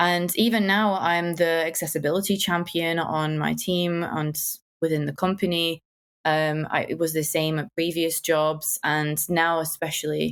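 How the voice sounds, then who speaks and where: A woman with a strong northern English accent speaks at a fairly slow pace in a monotone, flat intonation on a very clean recording with a silent background. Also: fairly low pitch for a woman. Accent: strong northern English accent, often mocked. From northern England, Wigan. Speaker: UX designer, accessibility champion. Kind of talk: podcast interview.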